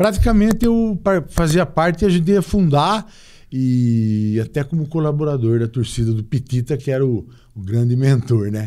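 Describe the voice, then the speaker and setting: Dark and mellow in tone, a man's fairly high voice moves through very wide pitch swings. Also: moderate pace. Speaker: former football club president. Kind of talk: interview.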